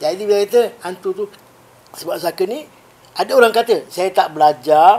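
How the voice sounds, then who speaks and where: A man talks at a moderate pace with a high pitch. His pitch varies in an ordinary way, and background noise is noticeable. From Malaysia, Negeri Sembilan. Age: 60s. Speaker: Islamic spiritual healer. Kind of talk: podcast interview.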